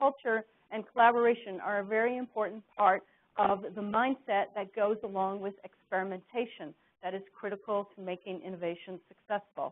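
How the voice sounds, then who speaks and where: A woman with an unremarkable speaking voice, medium in pitch with ordinary pitch variation, at a moderate pace with big swings in loudness. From Canada. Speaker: business executive and author. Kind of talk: corporate presentation.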